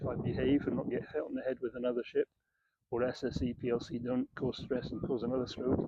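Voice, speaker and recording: With a Scottish accent, a man talks at a fairly quick pace in a medium pitch and a monotone, flat intonation. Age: 60s. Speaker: property developer. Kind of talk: casual talk to camera. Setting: outdoors by the beach. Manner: hesitant, many fillers.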